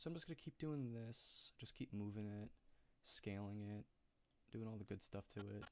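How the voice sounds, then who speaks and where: A quiet man's voice, fairly low in pitch, with ordinary pitch variation, a moderate pace and very even loudness. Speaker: video editor streaming their editing. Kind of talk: tutorial.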